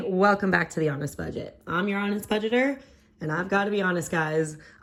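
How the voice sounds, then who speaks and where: The woman's voice is medium in pitch with ordinary pitch variation. She talks at a fairly quick pace. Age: 20s. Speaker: restaurant server. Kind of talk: casual talk to camera.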